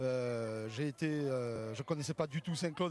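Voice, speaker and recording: A man talks in a southern French accent. His pitch varies in an ordinary way. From southern France, Béziers, Hérault. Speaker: rugby coach. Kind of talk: TV interview. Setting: outdoors at rugby stadium. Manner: hesitant, many fillers.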